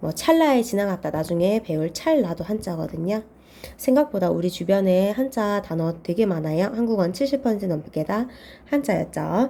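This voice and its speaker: A woman speaks in a plain, everyday voice at a medium pitch. Her pace is moderate and her intonation lively. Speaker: Chinese character exam tutor. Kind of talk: lecture.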